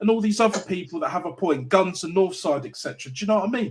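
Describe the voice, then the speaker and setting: An animated man with a London accent. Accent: London multicultural English. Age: 30s. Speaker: football YouTuber. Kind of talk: live call-in show discussion.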